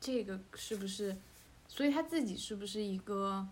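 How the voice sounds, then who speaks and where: Audible room echo surrounds a woman's somewhat breathy, medium-pitched voice as she talks at a moderate pace with ordinary pitch variation. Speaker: podcast host. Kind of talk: casual chat.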